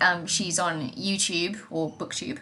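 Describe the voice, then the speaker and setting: Noticeable background noise runs under the recording. A woman speaks with a fairly low pitch. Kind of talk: casual podcast conversation.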